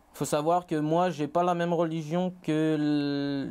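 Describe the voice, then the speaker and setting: A dark, mellow tone with fairly even intonation. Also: man. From Réunion, Saint-Pierre; Réunion. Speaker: college student; interview guest. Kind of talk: interview. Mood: calm, personal, reflective. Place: studio. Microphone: lapel.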